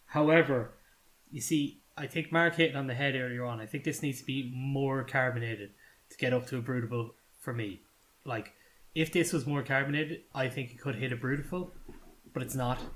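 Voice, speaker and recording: A man with an Irish accent talks at a medium pitch and fairly quick pace with fairly even intonation, in a very clean recording with a silent background. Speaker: podcast co-host reviewing beers. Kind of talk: casual chat.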